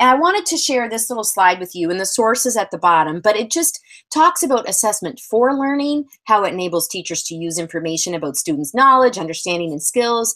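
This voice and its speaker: A woman with a Canadian accent talks at a fairly quick pace, barely pausing, her fairly high pitch swinging very widely. Her tone is bright, sharp and energetic. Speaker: physical education presenter. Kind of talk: webinar presentation. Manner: fast.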